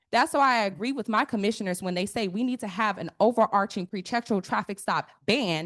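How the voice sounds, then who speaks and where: A woman's fairly high, animated voice at a fairly quick pace, ordinary pitch variation and hardly any pauses, dry and close with no echo against a quiet background. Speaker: police oversight commissioner. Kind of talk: public meeting deliberation. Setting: public meeting. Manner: fast when passionate.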